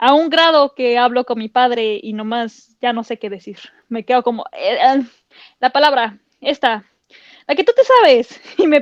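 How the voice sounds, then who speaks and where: In a Mexican accent, a woman with a high pitch speaks at a fairly slow pace, showing ordinary pitch variation and big swings in loudness in a dry, close sound with no echo. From Mexico. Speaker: podcast co-host. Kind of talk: casual chat.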